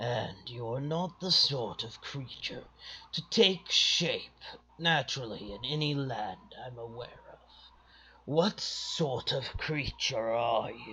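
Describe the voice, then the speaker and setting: A man puts on a soft-spoken, gravelly character voice at a medium pitch and a fairly slow pace. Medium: read story. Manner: soft, deliberate.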